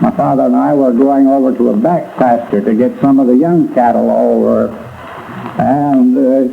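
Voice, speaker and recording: The man talks at a moderate pace while noticeable background noise carries on behind him. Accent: American. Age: 80s+. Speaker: fire survivor, retired furniture dealer and former mayor. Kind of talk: oral history interview recollection. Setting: archival recording from 1945. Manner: hesitant, halting speech with fillers.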